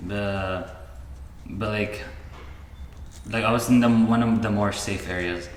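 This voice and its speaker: Over noticeable background noise and audible room echo, a man speaks at a fairly slow pace and a fairly low pitch with monotone, flat intonation and long, frequent pauses. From Syria. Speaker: engineering student. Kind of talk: casual chat. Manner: hesitant, many fillers.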